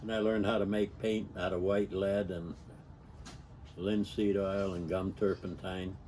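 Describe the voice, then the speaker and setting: A man with an American accent speaks in a fairly low, dark and mellow voice with flat, monotone intonation. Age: 80s+. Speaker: storyteller recounting his life. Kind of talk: personal reminiscence monologue. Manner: halting, with many fillers.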